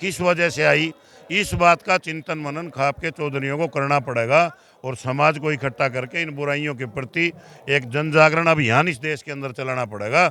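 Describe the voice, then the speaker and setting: The speaker is a man with a fairly high pitch, ordinary pitch variation, and an ordinary speaking voice. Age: 60s. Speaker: khap leader. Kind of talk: interview. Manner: formal.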